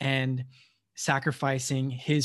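Against a quiet background, a man with an American accent speaks in a somewhat breathy, medium-pitched voice. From United States. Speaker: podcast co-host. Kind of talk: casual chat.

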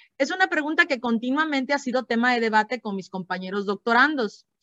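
A woman speaks at a moderate pace with a high pitch. Her tone is bright and sharp, her intonation lively. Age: 30s. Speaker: educator and podcast host. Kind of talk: educational podcast conversation.

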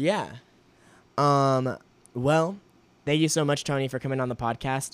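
Here is a man with a plain, everyday voice and a fairly high pitch. He talks at a moderate pace with fairly even intonation. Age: 20s. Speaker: podcast host. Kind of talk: casual chat. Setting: remote call.

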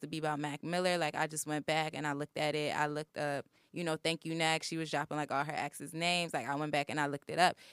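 A woman's very deep, low-pitched yet bright, sharp voice in an American accent, very fast, with fairly even intonation, a dry, close sound with no echo, and a very clean recording over a silent background. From Baltimore, Maryland. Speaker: university student. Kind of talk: casual chat.

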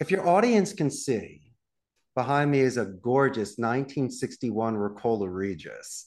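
Speaking in a Philadelphia accent, a man with a medium-pitched voice moves at a moderate pace while his pitch swings very widely. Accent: Philadelphia American. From Northeast Philadelphia. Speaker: call center CEO. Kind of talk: podcast interview. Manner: animated.

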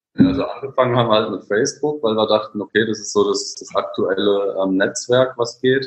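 A man speaks at a fairly quick pace with hardly any pauses and big swings in loudness. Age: 20s. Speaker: online shop co-founder, IT background. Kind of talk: casual interview.

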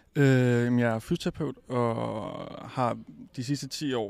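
A man talks with ordinary pitch variation, captured on a very clean recording against a silent background. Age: 40s. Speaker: physiotherapist. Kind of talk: interview. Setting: recorded at a high school.

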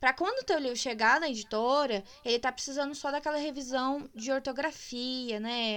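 A woman's high pitch at a moderate pace. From Minas Gerais, Brazil. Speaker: podcast host and writer. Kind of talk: casual chat. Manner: animated.

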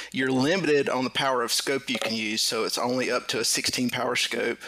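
A man speaks at medium pitch with fairly even intonation. Noticeable background noise can be heard. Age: 40s. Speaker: competitive airgun shooter. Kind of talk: casual interview.

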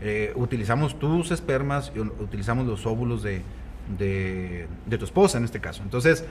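The voice shows vocal fry and very wide pitch swings. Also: man, fairly low pitch for a man, moderate pace. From Mexico, Coahuila (Nava). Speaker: gynecologist and fertility specialist. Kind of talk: casual interview.

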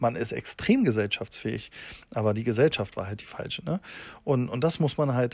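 A man is speaking. His intonation is lively. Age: 30s. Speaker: tattoo artist and podcaster. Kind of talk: casual monologue. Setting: outdoors in a garden. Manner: halting, many fillers.

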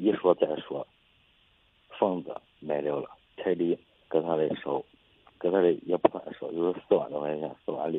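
A man speaks at a moderate pace, with big swings in loudness. His pauses are long and frequent. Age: 20s. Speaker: caller seeking advice. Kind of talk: personal story on call-in show. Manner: halting, repetitive.

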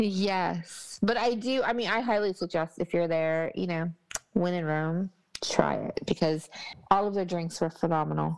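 In an American accent, a woman speaks with a fairly low pitch and ordinary pitch variation. Her pace is moderate. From Texas. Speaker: travel podcast host. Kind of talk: casual chat review. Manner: animated.

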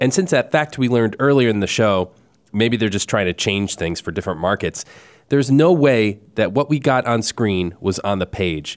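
The sound is dry and close with no echo as a man speaks at a medium pitch. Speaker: film podcast host. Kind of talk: casual chat. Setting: studio.

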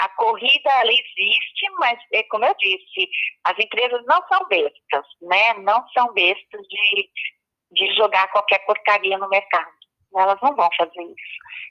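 Lively intonation from a woman with a fairly high pitch and a bright, sharp tone, at a fairly slow pace, in a dry, close sound with no echo. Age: 50s. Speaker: public health expert. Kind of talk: interview. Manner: hesitant, many fillers.

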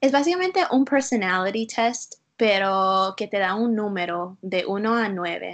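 Against a quiet background, a woman with an English accent talks at a fairly slow pace with hardly any pauses and ordinary pitch variation. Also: medium pitch for a woman. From US, Utah. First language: English (speaking Spanish). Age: 20s. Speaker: school counselor. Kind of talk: interview. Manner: halting.

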